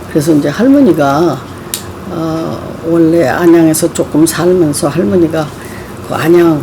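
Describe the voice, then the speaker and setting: A woman speaks at a fairly slow pace with a fairly low pitch and ordinary pitch variation. Noticeable background noise is present. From Seoul, South Korea. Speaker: oral history interviewee. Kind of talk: oral history interview. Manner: hesitant, with many fillers.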